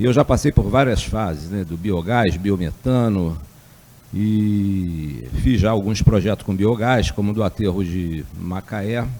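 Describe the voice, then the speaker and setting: This man has a dark, mellow tone and a fairly low pitch, speaking at a fairly slow pace with ordinary pitch variation. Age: 60s. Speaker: energy researcher. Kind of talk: lecture. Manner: hesitant, with fillers.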